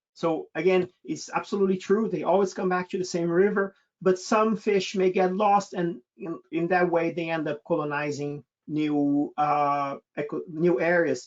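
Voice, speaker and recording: A man with a Brazilian accent speaks at a high pitch with ordinary pitch variation. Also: moderate pace. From Brazil, state of Sao Paulo. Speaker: naturalist expedition leader. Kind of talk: webinar Q&A. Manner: hesitant, many fillers and repetitions.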